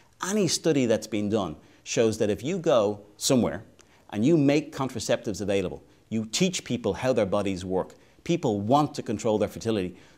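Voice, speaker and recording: In an Irish accent, a man speaks fairly quickly with lively intonation. The recording is very clean, with a silent background. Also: medium pitch for a man. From Ireland. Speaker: advocacy organization president. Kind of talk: interview.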